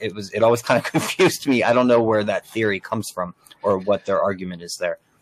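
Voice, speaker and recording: Here a man speaks with a New Jersey accent. His voice sounds dry and close, with no echo. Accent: New Jersey American. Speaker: podcast host. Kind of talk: casual chat.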